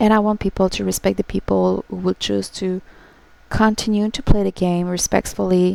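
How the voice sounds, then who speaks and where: In a French accent, a woman talks at a moderate pace, the sound dry and close with no echo. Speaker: gaming streamer. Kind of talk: emotional livestream talk to viewers. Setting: livestream. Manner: halting.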